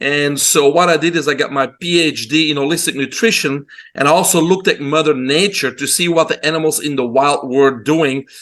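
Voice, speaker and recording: In a Belgian accent, a man talks at a fairly quick pace with hardly any pauses. His fairly high voice holds fairly even intonation over a quiet background. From Belgium. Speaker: holistic health doctor. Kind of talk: interview.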